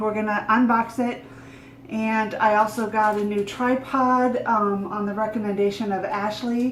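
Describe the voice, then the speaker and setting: Amid noticeable background noise and audible room echo, a woman talks at a fairly high pitch. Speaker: vlogger. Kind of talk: casual vlog. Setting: at a table at home. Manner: loud; animated.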